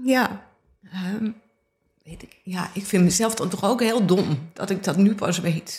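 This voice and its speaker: Somewhat breathy and medium in pitch, a woman speaks very slowly with ordinary pitch variation, big swings in loudness and long, frequent pauses. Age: 50s. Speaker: visual artist. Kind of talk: casual chat. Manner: halting.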